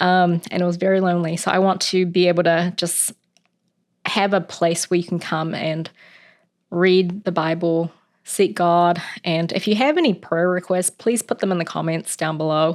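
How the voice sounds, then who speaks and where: A woman with a New Zealand accent speaks at a moderate pace in a fairly low, monotone, flat voice. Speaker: Bible reading channel host. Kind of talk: casual chat, then reading aloud. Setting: at home.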